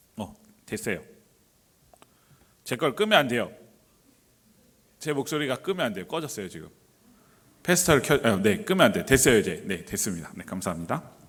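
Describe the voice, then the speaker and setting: Very wide pitch swings and vocal fry mark this fairly quick delivery, broken by long, frequent pauses. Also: man, medium pitch for a man. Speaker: pastor. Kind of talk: sermon. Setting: church. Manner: hesitant, many fillers.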